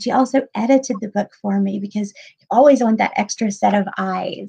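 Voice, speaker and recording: This woman has an American accent and ordinary pitch variation. Her pace is moderate. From US South (Pensacola, Florida). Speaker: podcast host, writing coach. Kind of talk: interview.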